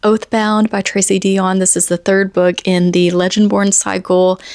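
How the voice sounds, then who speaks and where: Recorded dry and close with no echo, a woman speaks at a medium pitch and moderate pace in a monotone, flat intonation. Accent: Southern US. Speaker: book vlogger. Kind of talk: casual vlog review. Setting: sitting on the floor by camera charger.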